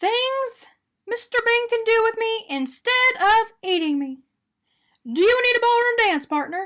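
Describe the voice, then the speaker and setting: In a put-on character voice, a woman squeaks at an extremely high pitch and a moderate pace, leaving long, frequent pauses. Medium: read story. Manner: bright, eager.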